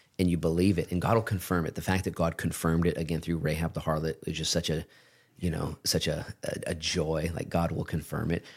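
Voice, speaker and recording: Over a silent background in a very clean recording, a man speaks fairly quickly in a very deep, low pitch with monotone, flat intonation. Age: 40s. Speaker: pastor. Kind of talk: casual chat. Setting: studio.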